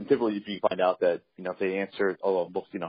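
A man talks at a very fast pace. His voice is very deep and low. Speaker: leasing agent on call.

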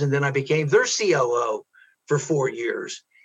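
A man with an American accent has a plain, everyday voice and a fairly high pitch. He speaks at a fairly slow pace. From US Midwest, Ohio. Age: 60s.

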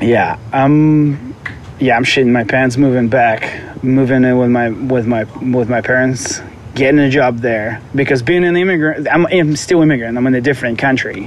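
With a strong Russian accent, a man speaks at a medium pitch and moderate pace, his loudness very even and his pitch variation ordinary, over noticeable background noise. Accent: thick Russian. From Moscow, Russia. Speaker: vintage clothing seller. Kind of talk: casual interview chat.

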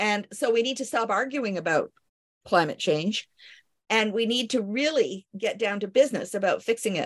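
A normal speaking voice, a woman with a Canadian accent, fairly high-pitched, at a moderate pace with ordinary pitch variation. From Canada. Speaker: medical historian and physician. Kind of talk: interview.

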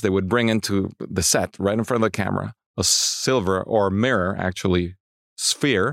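A man talks with a fairly low pitch. The recording is very clean with a silent background and a dry, close sound with no echo. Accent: Spanish. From Mexico City, Mexico. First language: Spanish. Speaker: cinematographer. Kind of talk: interview. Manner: halting, frequent repetitions.

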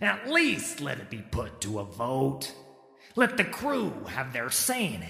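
A man's put-on character voice at medium pitch, fairly slow, with slight echo. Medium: read story. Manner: rough, blunt, common speech.

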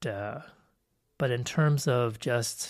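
On a very clean recording with a silent background, a man's somewhat breathy, medium-pitched voice shows ordinary pitch variation. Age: 50s. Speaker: psychology professor and podcast host. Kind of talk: solo educational podcast monologue. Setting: solo recording. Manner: casual with frequent filler words.

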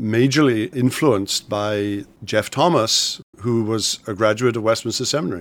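In a Welsh accent, the speaker goes at a moderate pace with ordinary pitch variation. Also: man. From Wales. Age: 60s. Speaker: pastor and theology professor. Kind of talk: interview.

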